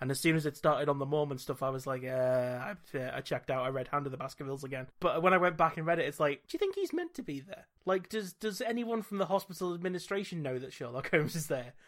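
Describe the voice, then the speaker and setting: A man with a British accent at a very fast pace, fairly high in pitch with ordinary pitch variation. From Britain. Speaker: podcast host. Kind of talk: casual chat.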